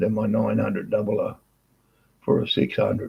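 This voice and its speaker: A man speaks at a moderate pace. He has an Australian accent. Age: 60s. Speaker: workshop owner and motorbike rider. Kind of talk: casual chat.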